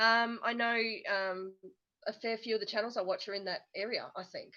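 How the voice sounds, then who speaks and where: This woman speaks in an Australian accent at a fairly high pitch. Her intonation is monotone and flat. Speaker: homesteading channel co-host. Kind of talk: casual chat. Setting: livestream. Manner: fast.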